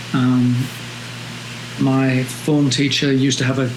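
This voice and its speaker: There is music in the background and audible room echo. A man speaks at medium pitch in a monotone, flat way. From London, England. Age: 70s. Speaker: photographer. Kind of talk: interview. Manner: hesitant, many fillers.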